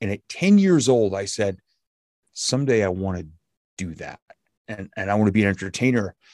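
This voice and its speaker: Against a quiet background, a man with an unremarkable speaking voice talks fairly quickly at a fairly low pitch with ordinary pitch variation, the sound dry and close with no echo. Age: 50s. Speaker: motivational speaker and former radio DJ. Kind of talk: casual interview.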